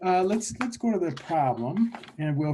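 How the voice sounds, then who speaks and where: The voice is somewhat breathy. Its intonation is lively, and the speaker is a man. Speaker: statistics teacher. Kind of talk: lecture. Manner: slow, deliberate pace; many fillers and restarts.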